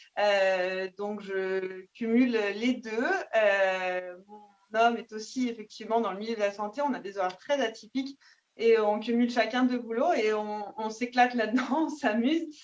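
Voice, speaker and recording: A woman speaks with an ordinary speaking voice, fairly high in pitch. She goes at a fairly slow pace with ordinary pitch variation. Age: 30s. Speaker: nurse and network marketing seller. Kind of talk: self-introduction on video call. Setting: video call.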